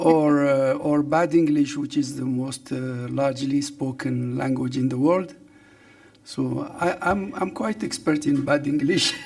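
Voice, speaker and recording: Against noticeable background noise, a man speaks at a fairly slow pace in a fairly high voice with fairly even intonation. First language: Arabic (also Berber). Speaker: government official, professor. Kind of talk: press briefing. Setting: press briefing room with online audience. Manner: hesitant, many fillers.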